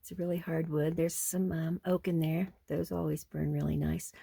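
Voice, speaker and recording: A dark, mellow, somewhat breathy voice at a fairly slow pace, flat and monotone in intonation. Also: woman. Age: 70s. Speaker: off-grid homesteading vlogger. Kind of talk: casual vlog narration. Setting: indoors in converted bus.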